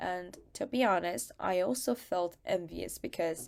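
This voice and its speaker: In a very clean recording with a silent background, a woman with a Korean accent speaks at a medium pitch. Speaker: student. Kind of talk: prepared testimony talk.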